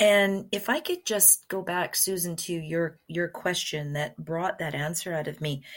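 This woman has a normal speaking voice, fairly low in pitch with ordinary pitch variation. She talks at a fairly slow pace. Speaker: podcast co-host. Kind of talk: casual interview chat. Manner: warm, friendly.

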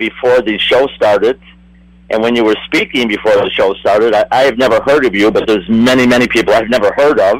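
This man has an unremarkable speaking voice at medium pitch. He talks at a fairly quick pace. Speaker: astrologer. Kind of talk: astrological reading in panel chat.

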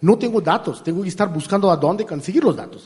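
Ordinary pitch variation runs through a man's dark, mellow voice. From India. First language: not Spanish (from India) (speaking Spanish). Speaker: artificial intelligence engineer. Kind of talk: interview. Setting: live event with audience. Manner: halting.

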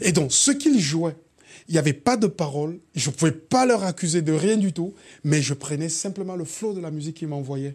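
Lively intonation marks a man's normal speaking voice at a moderate pace, on a very clean recording with a silent background. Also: fairly high pitch for a man. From Cameroon. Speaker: hip-hop artist. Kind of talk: casual chat.

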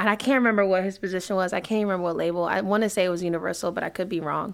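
A woman speaks with a D.C. accent. Her pitch sits in the medium range. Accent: D.C. area urban American. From Washington D.C. area. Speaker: brand and events manager. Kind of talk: casual interview chat. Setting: studio. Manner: fast talker.

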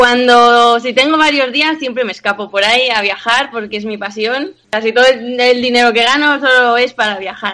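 A woman with a high pitch keeps a moderate pace and fairly even intonation, barely pausing. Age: 20s. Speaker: personal trainer. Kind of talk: interview.

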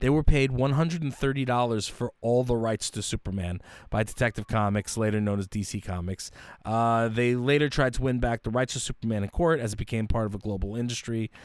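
Recorded very cleanly against a silent background, dry and close with no echo, a man speaks in an animated, dramatic tone at a moderate pace, with medium pitch and ordinary pitch variation. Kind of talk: casual chat podcast. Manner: animated, jokey, mock-dramatic intro banter.

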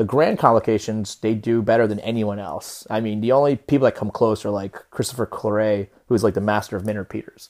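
A man with an unremarkable speaking voice, fairly low in pitch, fairly quick in pace, with fairly even intonation and hardly any pauses. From New Jersey, US (Peruvian family). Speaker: watch industry professional and influencer. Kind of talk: casual interview chat. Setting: remote call.

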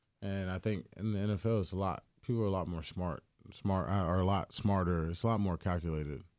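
A man with a North Carolina accent and a dark, mellow tone, fairly even in intonation, on a very clean recording with a silent background. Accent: Southern US, North Carolina. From US South, Greensboro, North Carolina. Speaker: pro football player. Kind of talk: casual interview. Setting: studio.

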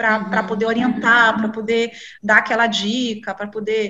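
This woman's tone is bright and sharp. She talks at a fairly quick pace. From Brazil, Salvador (Bahia). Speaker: journalist and library director. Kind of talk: interview. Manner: hesitant, many fillers.

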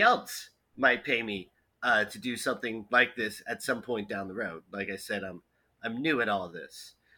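A man speaks with an American accent at a moderate pace. His tone is bright and sharp, on a very clean recording with a silent background. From New Jersey. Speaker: podcast guest, recent college graduate. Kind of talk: casual chat.

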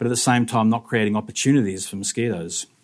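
A man with an Australian accent speaks on a very clean recording with a silent background. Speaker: mosquito researcher. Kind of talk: talk to a live audience.

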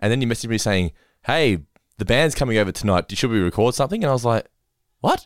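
Over a very clean recording with a silent background, a man of medium pitch speaks very fast with lively intonation and very even loudness, broken by long, frequent pauses. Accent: Australian. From Australia. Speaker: podcast host. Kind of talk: casual chat.

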